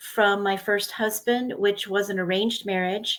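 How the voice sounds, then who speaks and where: A woman's fairly high voice on a very clean recording with a silent background. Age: 60s. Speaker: trafficking survivor and educator. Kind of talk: interview testimony.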